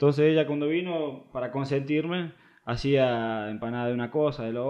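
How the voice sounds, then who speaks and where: Against a quiet background, a man talks at a fairly quick pace. His pitch variation is ordinary. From Argentina, small town in Córdoba. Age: 20s. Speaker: professional footballer. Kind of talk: casual interview. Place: home room. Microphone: studio mic.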